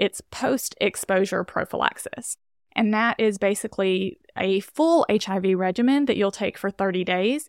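A woman with an American accent has a plain, everyday voice at medium pitch with ordinary pitch variation. The sound is dry and close with no echo, on a very clean recording with a silent background. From US South, rural Alabama. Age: 20s. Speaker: physician assistant. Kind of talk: casual interview. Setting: studio.

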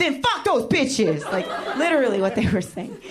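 A woman talks fairly quickly in a high pitch with very wide pitch swings. Audible room echo surrounds her voice. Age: 30s. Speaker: stand-up comedian. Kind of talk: stand-up. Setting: stage with audience.

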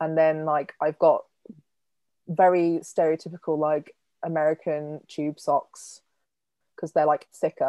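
In an English accent, a woman with a very deep, low pitch and a dark, mellow tone speaks at a fairly slow pace in a monotone, flat intonation, with long, frequent pauses, on a very clean recording with a silent background. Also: dry, close sound with no echo. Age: 20s. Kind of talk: interview.

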